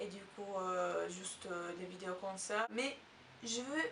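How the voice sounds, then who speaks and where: A woman with an Italian accent and ordinary pitch variation. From Italy. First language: Italian (speaking French). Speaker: language teacher YouTuber. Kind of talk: tutorial. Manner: halting, many hesitations.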